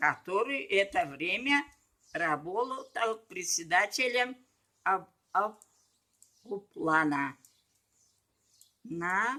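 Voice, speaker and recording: A woman speaks at medium pitch with a bright, sharp tone and very wide pitch swings. Her pace is very slow, with long, frequent pauses. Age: 80s+. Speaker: retired medic, rural paramedic. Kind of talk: interview answer, reading from papers.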